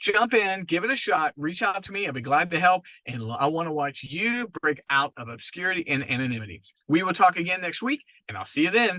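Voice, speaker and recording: With an animated tone, a man speaks fairly quickly in a high pitch, making very wide pitch swings and big swings in loudness. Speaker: marketing podcast host. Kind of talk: podcast monologue. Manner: fast.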